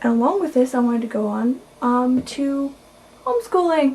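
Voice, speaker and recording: A soft-spoken, high-pitched woman with noticeable background noise. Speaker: video blogger. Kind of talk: casual vlog monologue.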